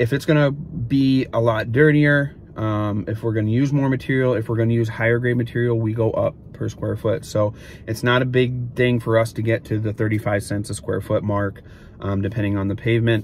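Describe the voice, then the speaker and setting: A somewhat breathy man with fairly even intonation, dry sound with no echo, and light background noise. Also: moderate pace. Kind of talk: tutorial. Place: car. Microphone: phone near.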